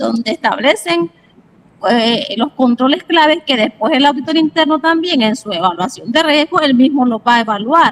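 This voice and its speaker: A woman speaks at a moderate pace in a high voice with lively intonation, recorded dry and close with no echo. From Nicaragua. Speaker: auditor, audience member. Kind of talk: question in webinar.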